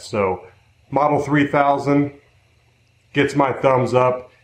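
Audible room echo surrounds a man's voice. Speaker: product reviewer. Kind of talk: casual review talk. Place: workshop. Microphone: camera far.

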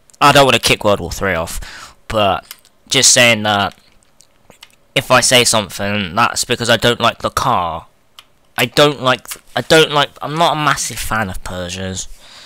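A man with a southern English accent, a bright, sharp tone, a medium pitch, lively intonation, and a fairly slow pace. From England, not the north. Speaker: gaming YouTuber. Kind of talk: let's play commentary. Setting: home recording, playing emulator. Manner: animated.

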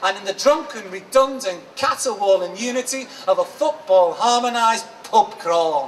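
A man in a Liverpool accent, high-pitched, at a moderate pace with hardly any pauses, lively intonation and light background noise. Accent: Scouse (Liverpool). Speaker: performance poet. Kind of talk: poetry reading. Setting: live event. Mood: expressive, eyes often closed. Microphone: handheld.

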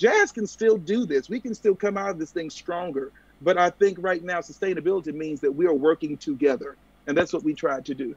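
In a dry recording with no echo, a man with a high pitch talks at a fairly quick pace with ordinary pitch variation. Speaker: jazz foundation board chair. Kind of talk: panel discussion. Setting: video call. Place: home room. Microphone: video call.

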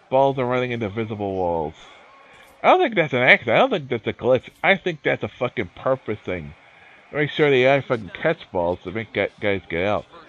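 The pace is fairly quick. The pitch swings very widely. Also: man, medium pitch for a man. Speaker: streamer playing a baseball game. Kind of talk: casual livestream chat. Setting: video game livestream. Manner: rambling, halting, swears when annoyed.

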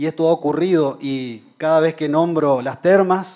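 The speech moves at a very slow pace with ordinary pitch variation over a quiet background. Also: man. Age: 30s. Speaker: mayoral candidate, lawyer; candidate, lawyer. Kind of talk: political debate speech. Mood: earnest, persuasive. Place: hall. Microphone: podium.

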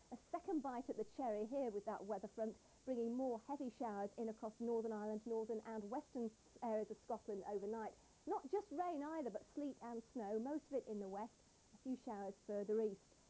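A woman speaks fairly quickly with ordinary pitch variation and a dark, mellow tone. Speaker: presenter. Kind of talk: broadcast weather forecast. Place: studio. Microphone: lapel.

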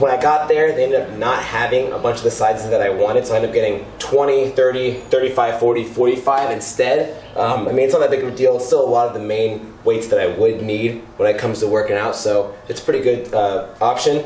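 A man's very fast, fairly evenly intoned speech with hardly any pauses, audible room echo and light background noise. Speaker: home gym vlogger. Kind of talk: casual vlog chat. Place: garage.

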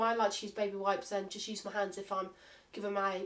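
Speaking at a fairly quick pace, a woman with a British accent uses a medium pitch. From United Kingdom. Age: young. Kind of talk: casual haul vlog to camera.

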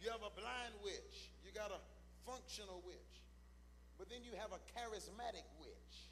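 With light background noise, a man talks at a moderate pace, leaving long, frequent pauses. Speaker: preacher. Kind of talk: sermon. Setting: church; stage with audience. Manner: animated; call-and-response. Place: church. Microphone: handheld.

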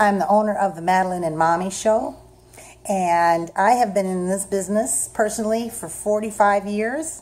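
Upbeat and animated, a woman talks at a moderate pace with ordinary pitch variation. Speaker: show host and stage mom. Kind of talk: casual documentary hosting. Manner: upbeat, animated. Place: home room. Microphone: phone near.

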